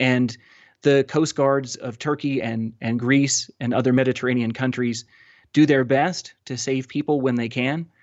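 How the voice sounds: Someone reads in a natural voice, the intonation fairly level. All around is quiet.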